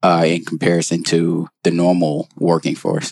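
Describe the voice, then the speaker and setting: The speaker has an American accent and a moderate pace. The sound is dry and close, with no echo. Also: man. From North Carolina. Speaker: junior strategy consultant. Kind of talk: casual chat.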